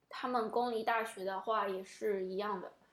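Speaking at a moderate tempo in a plain, everyday voice, a woman keeps a fairly high pitch that varies in an ordinary way. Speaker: podcast host. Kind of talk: casual chat.

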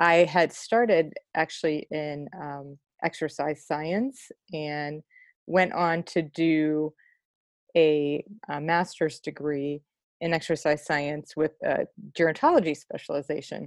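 In an American accent, the speaker talks very slowly with fairly even intonation, in a dry, close sound with no echo and a quiet background. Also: woman, very deep, low pitch for a woman. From US Midwest, Cleveland. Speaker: nurse coach and poet. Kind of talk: casual interview.

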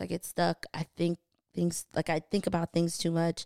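A woman with an American accent talks at a moderate pace and a fairly low pitch, in a very clean, silent-background recording with a dry, close sound and no echo. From New Jersey, Haitian family. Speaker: podcast host, creative. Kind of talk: casual chat.

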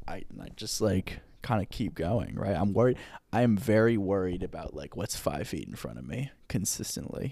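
With a dark, mellow tone and vocal fry, a man speaks at a moderate pace and fairly low pitch, his intonation lively and his loudness swinging widely, on a very clean recording with a silent background. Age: 20s. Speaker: podcast co-host. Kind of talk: casual chat. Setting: studio.

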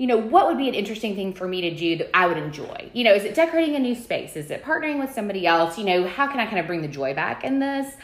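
A woman with an Alabama accent talks at a very fast pace with hardly any pauses and a fairly high pitch. Her pitch swings very widely over noticeable background noise. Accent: US Southern (Alabama). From Alabama, Birmingham. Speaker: home decor influencer, Bible teacher. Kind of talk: personal testimony in conversation.

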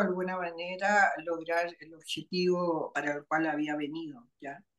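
A normal speaking voice at a fairly slow pace. The intonation stays fairly even. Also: woman. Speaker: writer and spiritual teacher. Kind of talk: interview.

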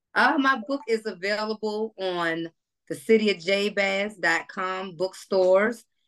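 Using a plain, everyday voice, a woman speaks at a fairly slow pace and medium pitch with ordinary pitch variation. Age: 40s. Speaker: author and evangelist. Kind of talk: interview.

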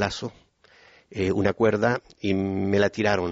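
Monotone, flat intonation from a man with a fairly low pitch. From Chile (Puerto Montt). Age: 50s. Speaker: pastor. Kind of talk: testimony.

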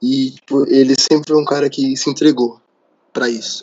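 A man's fairly high-pitched, unremarkable speaking voice with ordinary pitch variation. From São Paulo, Brazil. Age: 20s. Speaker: photographer, former arts student. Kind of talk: casual interview. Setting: late-night recording.

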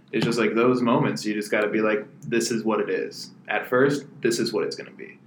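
With an American accent and hardly any pauses, the speaker goes at a fairly quick pace over noticeable background noise. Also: man. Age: 20s. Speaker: podcast co-host and booking agent. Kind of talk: casual chat.

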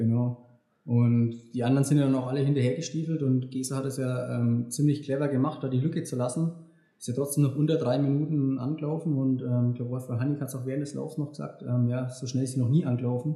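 A somewhat breathy man at medium pitch, very fast in pace, with fairly even intonation. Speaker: elite marathon runner. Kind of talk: casual chat. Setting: recorded after a run. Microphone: poor sound quality.

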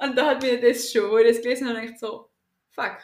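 A woman talks at a very fast pace with monotone, flat intonation. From Austria, Tyrol. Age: 20s. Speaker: teacher and calisthenics athlete. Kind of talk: interview.

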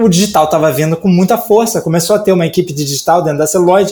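Noticeable background noise accompanies a man talking. His voice is high-pitched, with ordinary pitch variation. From Brazil, Rio de Janeiro. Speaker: type designer. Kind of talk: casual interview chat. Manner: hesitant, many fillers.

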